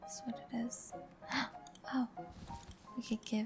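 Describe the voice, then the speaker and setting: The voice is soft-spoken and relaxed in tone. Music plays in the background. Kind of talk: soft-spoken gameplay commentary for sleep. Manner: soft-spoken, relaxed.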